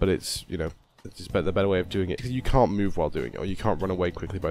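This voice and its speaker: Mumbling at a very fast pace, a man with a very deep, low pitch and ordinary pitch variation speaks over music in the background. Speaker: gaming video creator. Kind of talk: gameplay tutorial narration. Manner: mumbly.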